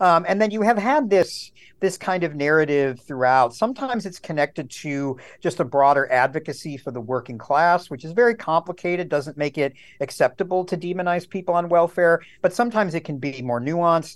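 Against a quiet background, a man with an American accent talks at a fairly quick pace, his high pitch marked by lively intonation. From Wisconsin, US. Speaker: historian, professor. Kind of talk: interview, analytical commentary. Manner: frequent fillers, hesitant.

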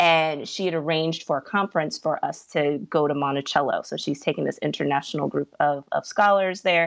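A woman with a fairly low pitch and an ordinary speaking voice talks at a fairly quick pace with ordinary pitch variation and hardly any pauses. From US South, Virginia. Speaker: political commentator.

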